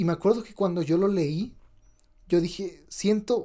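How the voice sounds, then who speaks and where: High male speech with a dark, mellow tone. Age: 20s. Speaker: podcast host. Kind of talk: casual chat.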